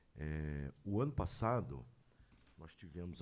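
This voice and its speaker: A man with a very deep, low pitch and a dark, mellow tone speaks at a very slow pace. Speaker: city councillor. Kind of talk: public hearing discussion. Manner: halting.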